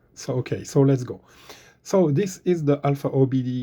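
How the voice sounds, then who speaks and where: Against a quiet background, a man with a French accent speaks in a dark, mellow, somewhat breathy tone with ordinary pitch variation. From France. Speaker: car DIY tutorial maker. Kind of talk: tutorial. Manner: hesitant, many fillers.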